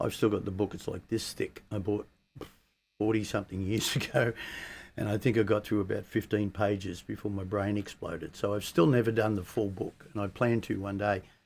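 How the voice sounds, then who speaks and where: A man talks at a fairly quick pace in an unremarkable speaking voice. His pitch sits fairly low, and his intonation stays fairly even. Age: 60s. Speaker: guitar teacher. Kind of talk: tutorial.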